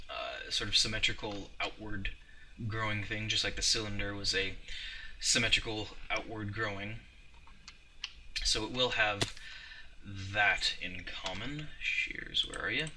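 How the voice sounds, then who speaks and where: A man speaks at a fairly slow pace with long, frequent pauses. Background noise is noticeable, and there is audible room echo. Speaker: gaming video creator. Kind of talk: let's play commentary. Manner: halting, stumbling over words.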